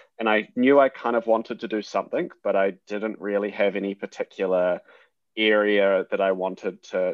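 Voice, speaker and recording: A man talks with a New Zealand accent. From New Zealand (Hamilton). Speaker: junior doctor and surgical researcher. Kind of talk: interview.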